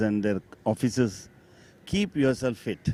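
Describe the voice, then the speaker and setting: A man with a dark, mellow tone and medium pitch talks at a moderate pace with ordinary pitch variation. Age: 60s. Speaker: lawyer cricketer, team elder. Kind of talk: post-match interview.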